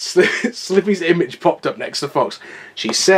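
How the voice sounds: A natural reading voice. Nothing further stands out.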